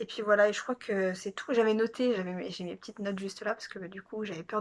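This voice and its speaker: A woman talks at a fairly quick pace in a bright, sharp tone. Her intonation stays fairly even. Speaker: vlogger. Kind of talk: casual vlog monologue. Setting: at home. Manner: fast; hesitant, many fillers.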